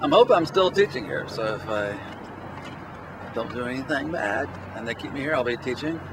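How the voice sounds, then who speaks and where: A man talks at a fairly quick pace with an American accent. Noticeable background noise runs underneath. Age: 60s. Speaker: teacher. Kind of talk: interview testimony.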